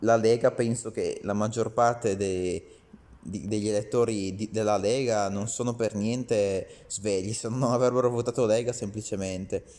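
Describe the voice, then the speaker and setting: A man with a dark, mellow tone talks at a fairly slow pace in a fairly even intonation. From Italy. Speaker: video commentator. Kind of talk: angry rant, scornful political commentary aimed at Salvini. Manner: indignant, sarcastic, scolding, addressing Salvini directly. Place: home room. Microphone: phone near.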